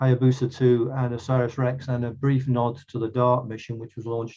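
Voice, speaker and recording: Dark, mellow tone at a moderate pace. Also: man. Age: 60s. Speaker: astronomer. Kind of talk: lecture. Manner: halting, many fillers.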